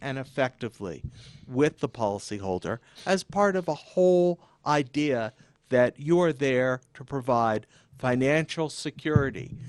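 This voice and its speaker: Speaking fairly slowly, a man has a normal speaking voice at medium pitch with lively intonation. The sound is dry and close, without echo. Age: 60s. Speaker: insurance attorney. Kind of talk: radio interview. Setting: radio studio, live. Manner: measured, formal.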